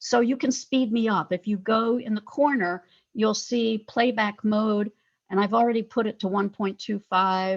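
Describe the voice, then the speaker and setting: A woman speaks at a moderate pace in a normal speaking voice, her fairly high pitch moving with ordinary variation over a quiet background. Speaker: professor. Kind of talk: lecture.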